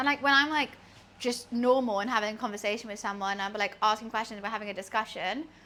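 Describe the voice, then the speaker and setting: Talking at a very fast pace, a woman with a British accent has a fairly high pitch and a bright, sharp tone. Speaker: streamer. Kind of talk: casual live-stream chat while cooking.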